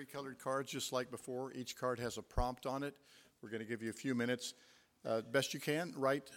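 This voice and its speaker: A man talks at a fairly quick pace in a medium pitch, his intonation monotone and flat. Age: 70s. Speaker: event moderator. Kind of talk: moderating Q&A. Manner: halting, filler words.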